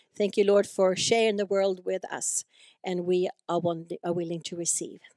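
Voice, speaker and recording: The speech moves at a moderate pace, with a dry, echo-free sound and a quiet background. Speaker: ministry leader. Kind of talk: introduction and prayer. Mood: calm, reverent. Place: church. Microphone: handheld.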